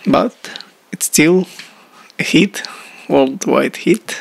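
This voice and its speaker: Amid noticeable background noise, a man speaks at a very slow pace in a dry, close sound with no echo. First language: not English. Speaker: music producer. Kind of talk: tutorial. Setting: video blog. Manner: halting.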